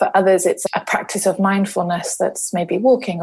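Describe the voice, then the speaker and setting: A woman's somewhat breathy, medium-pitched voice with a South London accent, at a fairly quick pace. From South London, England. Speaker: parenting and leadership coach. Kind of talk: casual podcast interview.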